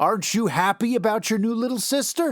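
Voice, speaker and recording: Using a put-on character voice, a man speaks at a fairly quick pace and a high pitch, with a dry, close sound and no echo. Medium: read story.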